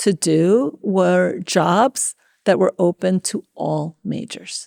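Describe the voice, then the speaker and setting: A woman with a Spanish accent speaks at a medium pitch in a dark, mellow tone, recorded very cleanly against a silent background with a dry, close sound and no echo. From New York City, Washington Heights (Dominican family). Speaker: tech executive. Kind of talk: interview. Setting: conference venue.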